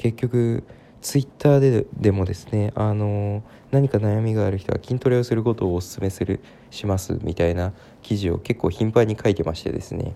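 A man speaks in a fairly low pitch with a dark, mellow tone and ordinary pitch variation. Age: 20s. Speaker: podcaster. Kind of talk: casual monologue. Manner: many fillers, unhurried.

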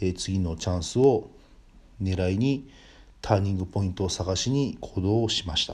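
The speaker is a man with a very deep, low pitch. He talks at a moderate pace with ordinary pitch variation. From northern Kanto, Japan. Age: 40s. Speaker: podcast host, business owner. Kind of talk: personal monologue. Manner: polite, formal.

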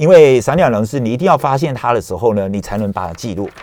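A man talks at a very fast pace with medium pitch and very wide pitch swings. The recording is very clean, with a silent background. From Matsu (Beigan), moved to Taiwan at 11. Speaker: travel agency executive. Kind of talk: radio interview. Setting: radio studio.

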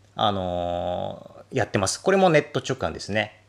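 This man talks at a moderate pace with vocal fry and very wide pitch swings. The recording is very clean, with a silent background. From Japan, Akita. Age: 40s. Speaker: detergent maker and cleaning expert. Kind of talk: solo podcast monologue. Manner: halting, many fillers.

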